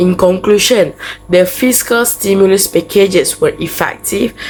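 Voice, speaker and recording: A woman at a fairly slow pace with ordinary pitch variation, with music in the background. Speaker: university student. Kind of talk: class presentation.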